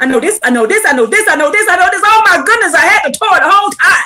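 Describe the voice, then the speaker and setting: Someone is shouting, loud. The pace is very fast. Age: 50s. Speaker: online preacher. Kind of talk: livestream religious teaching. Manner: loud, yelling.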